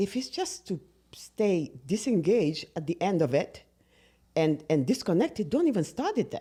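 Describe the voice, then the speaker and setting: A woman's dark, mellow voice at a medium pitch, with very wide pitch swings and a non-native accent, on a very clean recording with a silent background. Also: moderate pace. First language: not English. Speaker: podcast co-host. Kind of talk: casual chat.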